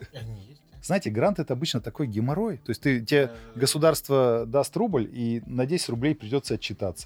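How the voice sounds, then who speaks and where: Lively in intonation, a man talks at a moderate pace and medium pitch. His loudness swings widely while music plays in the background. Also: dry, close sound with no echo. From Russia, Yoshkar-Ola (Mari El). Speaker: IT company owner. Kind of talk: casual interview discussion.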